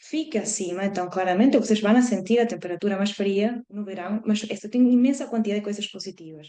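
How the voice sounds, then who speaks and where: This woman's voice sits at medium pitch, moving at a moderate pace and showing ordinary pitch variation. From Argentina (Patagonia). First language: Spanish (speaking Portuguese). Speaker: marine scientist. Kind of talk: educational presentation to school classes. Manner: halting.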